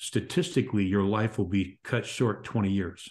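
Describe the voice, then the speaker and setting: A man's fairly low voice at a moderate pace, a normal speaking voice against a quiet background. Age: 60s. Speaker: author and podcast host. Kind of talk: interview conversation.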